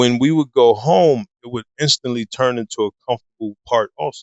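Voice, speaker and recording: A man with an ordinary speaking voice talks at a moderate pace, showing ordinary pitch variation. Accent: American. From US Midwest, Harvey, Illinois. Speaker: fitness coach and photographer. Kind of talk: interview storytelling.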